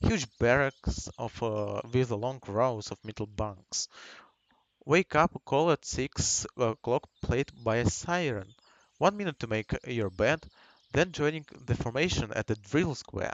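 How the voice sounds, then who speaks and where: The speaker has a Russian accent and lively intonation. The delivery is fairly slow. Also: man, medium pitch for a man. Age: 20s. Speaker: gaming streamer. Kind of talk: reading aloud. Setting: live stream. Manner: halting.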